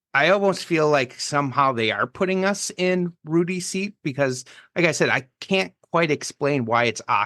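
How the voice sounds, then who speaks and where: A man's bright, sharp tone moves through very wide pitch swings at a fairly slow pace, with a dry, close sound, no echo and a quiet background. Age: 30s. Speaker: podcast host. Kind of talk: casual chat. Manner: halting.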